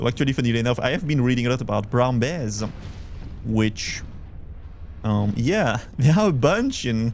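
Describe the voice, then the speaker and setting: A man with a Belgian accent, lively intonation and a fairly slow pace. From Belgium. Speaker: vtuber streamer. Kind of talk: casual live gameplay chat.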